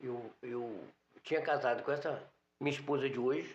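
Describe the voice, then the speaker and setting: A man speaks at a moderate pace. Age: 60s. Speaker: newsstand owner. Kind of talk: interview.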